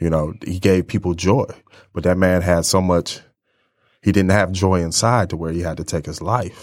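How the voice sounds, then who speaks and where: A man with an American accent, very deep, low pitch, moderate pace and fairly even intonation, in a very clean recording with a silent background. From Ypsilanti, Michigan. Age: 40s. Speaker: mentor. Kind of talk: interview.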